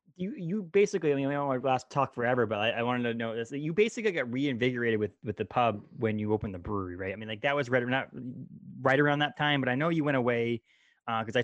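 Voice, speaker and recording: Against a quiet background, a man talks at a very fast pace. His pitch is medium, with ordinary variation. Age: 30s. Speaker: podcast host. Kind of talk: casual chat.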